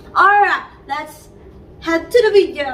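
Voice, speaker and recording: A woman speaks with very wide pitch swings. Noticeable background noise sits behind her. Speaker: vlogger. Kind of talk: tutorial. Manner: halting, many fillers.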